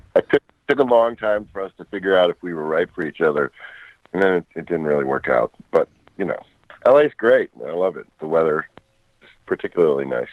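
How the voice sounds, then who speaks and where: A man talks at a fairly quick pace, broken by long, frequent pauses. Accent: American. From New York, Westchester County. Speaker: record producer and guitarist. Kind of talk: interview conversation. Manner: halting.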